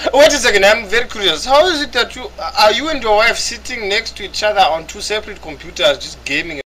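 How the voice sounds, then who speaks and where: A man with an extremely high-pitched, raised and projected voice, very wide pitch swings, big jumps in loudness and a very fast pace. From Africa. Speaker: online gamer. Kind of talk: casual chat. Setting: voice chat.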